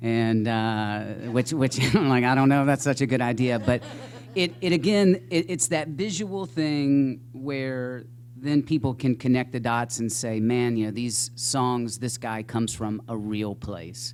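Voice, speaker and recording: Noticeable background noise behind a fairly slow, medium-pitched male voice with ordinary pitch variation. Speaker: singer-songwriter. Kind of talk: panel discussion.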